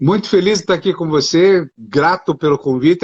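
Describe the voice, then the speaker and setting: In a normal speaking voice, a man talks at a moderate pace with ordinary pitch variation. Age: 60s. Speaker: doctor and speaker. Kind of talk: live stream interview.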